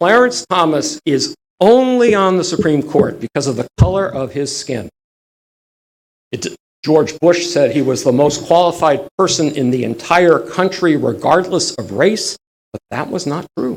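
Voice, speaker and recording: In a dry, close sound with no echo, a man speaks at a fairly slow pace in an animated tone with lively intonation. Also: fairly high pitch for a man. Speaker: history lecturer. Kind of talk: lecture.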